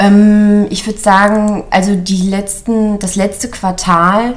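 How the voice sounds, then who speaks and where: A woman talks very slowly with fairly even intonation. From Mecklenburg-Western Pomerania. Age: 30s. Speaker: small business founder, caregiver. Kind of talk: interview.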